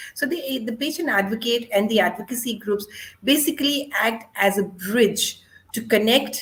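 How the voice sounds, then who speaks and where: Her voice somewhat breathy, a woman speaks at a fairly high pitch with lively intonation. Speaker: panel moderator, doctor. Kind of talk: panel discussion. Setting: video call.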